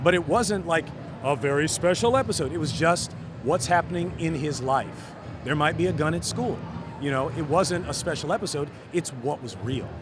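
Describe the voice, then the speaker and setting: A man with a fairly high pitch speaks in a relaxed tone with lively intonation. Noticeable background noise runs underneath. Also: moderate pace. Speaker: voice actor. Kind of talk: interview answer. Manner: conversational, relaxed.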